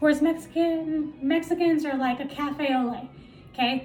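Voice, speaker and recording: Music plays in the background behind a woman with an American accent. She speaks at a fairly slow pace in an animated tone. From South Central Los Angeles. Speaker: stand-up comedian. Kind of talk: stand-up.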